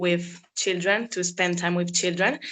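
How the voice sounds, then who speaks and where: The woman's tone is bright and sharp. She speaks in an Italian accent. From Italy. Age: 20s. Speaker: former au pair. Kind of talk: interview.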